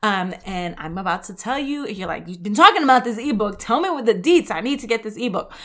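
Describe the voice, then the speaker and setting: A woman's fairly high, animated voice with a New York accent, lively intonation, a very fast pace and hardly any pauses, over noticeable background noise. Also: big swings in loudness. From New York, the Bronx; Puerto Rican family. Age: 30s. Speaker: health podcast host. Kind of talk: solo podcast monologue. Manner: casual, animated.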